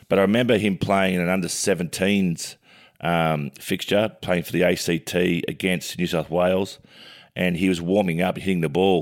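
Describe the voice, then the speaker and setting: In a very clean recording with a silent background, a man with an Australian accent speaks at a moderate pace in a very deep, low pitch with fairly even intonation. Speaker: sports pundit and co-host. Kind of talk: casual sports chat. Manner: loud.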